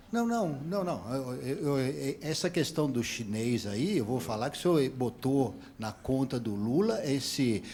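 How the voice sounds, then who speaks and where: A man's mid-range voice proceeds at a very slow pace. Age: 60s. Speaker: audience member asking a question. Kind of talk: heated debate. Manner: halting, many repetitions.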